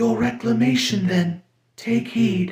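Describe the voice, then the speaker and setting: A raspy, high-pitched put-on character voice from a man, with very wide pitch swings, a fairly slow pace and slight echo. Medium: read story. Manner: solemn, measured, mild.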